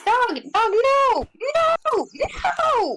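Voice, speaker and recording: A squeaky, put-on character voice sits at an extremely high pitch with very wide pitch swings. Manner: loud yelling.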